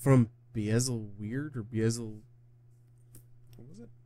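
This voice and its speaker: Quiet and somewhat breathy, a man speaks with a dark, mellow tone in a dry sound with no echo and light background noise. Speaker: gaming reaction youtuber. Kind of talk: casual reaction commentary. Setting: home recording at night. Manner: speaking quietly. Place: home room.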